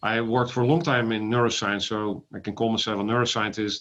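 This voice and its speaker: Talking at a very fast pace in a Dutch accent, a man with a medium pitch keeps his intonation fairly even against a quiet background. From Netherlands. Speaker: ophthalmologist and AI company founder. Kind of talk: interview. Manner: halting with fillers.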